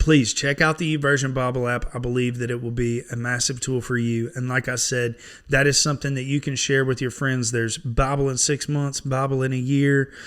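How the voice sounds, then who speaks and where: A man talks at a fairly quick pace and medium pitch, with hardly any pauses and a monotone, flat delivery. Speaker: online Bible reader. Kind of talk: casual sign-off talk. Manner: folksy, relaxed.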